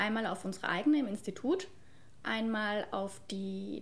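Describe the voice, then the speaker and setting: Somewhat breathy, a woman speaks at a very slow pace. Her voice carries audible room echo. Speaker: cultural studies student. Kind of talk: casual chat.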